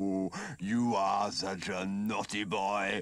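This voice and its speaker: A man performs a put-on character voice. His pitch is fairly low. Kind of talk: fan dub voice acting. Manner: sly, condescending, falsely sweet.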